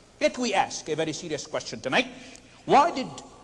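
Very wide pitch swings from a male speaker, with noticeable background noise behind him. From Palestine (Nazareth). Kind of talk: formal debate presentation.

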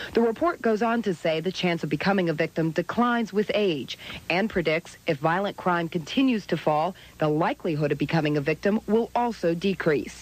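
A woman with an ordinary speaking voice talks at a fairly quick pace and fairly low pitch. Her intonation is lively and her loudness very even. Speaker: TV news reporter. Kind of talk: TV news report.

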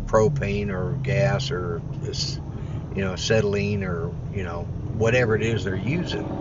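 Noticeable background noise sits under a man's fairly low voice, which moves at a moderate pace in a dry sound with no echo. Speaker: vlogger driving. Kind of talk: casual vlog chat. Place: car. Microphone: phone near.

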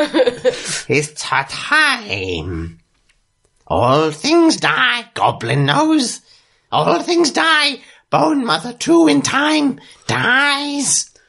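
This is a put-on character voice with a fairly high pitch. It moves at a very slow pace. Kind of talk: comic fantasy voice acting. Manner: broken grammar, talks of himself in third person; melancholy, brooding, sudden outbursts.

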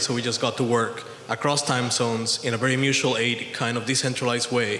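A man's medium-pitched, monotone, flat voice at a fairly quick pace, with audible room echo and light background noise. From Puerto Rico. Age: 30s. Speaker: audience member. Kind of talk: audience question. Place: hall.

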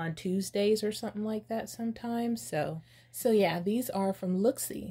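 The voice has a dark, mellow tone, a somewhat breathy quality and ordinary pitch variation. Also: woman. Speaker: beauty youtuber. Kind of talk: casual chat. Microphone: phone near.

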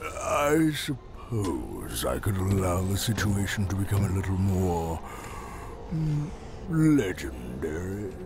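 A man speaks at a fairly slow pace and a fairly low pitch over loud background noise. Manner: pompous, smug.

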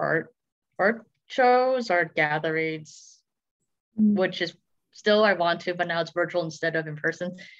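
A woman with a normal speaking voice speaks over a quiet background. Her pitch is fairly low, with ordinary pitch variation. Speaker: podcast guest. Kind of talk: interview answer. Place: home room. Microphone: video call.

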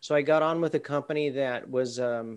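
A man speaks with an American accent. His pace is moderate, with ordinary pitch variation. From Southern California. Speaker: university lecturer. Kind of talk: work meeting. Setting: video call. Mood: reflective, slightly rueful. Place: home room. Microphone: video call.

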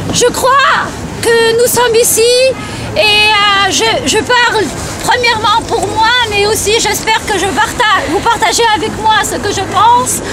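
Loud background noise sits under a woman's very slow speech. The recording is dry, with no echo. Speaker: rally speaker, Tunisian diaspora activist. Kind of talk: rally speech. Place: street. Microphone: phone near.

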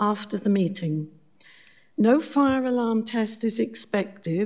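A woman's dark, mellow voice comes through over a quiet background. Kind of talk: formal meeting chairing. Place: hall.

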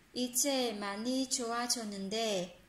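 A woman speaks very slowly in a high voice, with audible room echo. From Vietnam. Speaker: Korean language teacher on a video channel; Korean language teacher. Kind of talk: language lesson tutorial. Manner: hesitant, many fillers. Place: home room. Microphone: phone near.

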